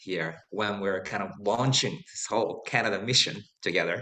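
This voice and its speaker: With a Japanese accent, a man talks at a moderate pace in a fairly low pitch and a bright, sharp tone. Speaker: Zen priest hosting a talk. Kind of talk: online talk introduction.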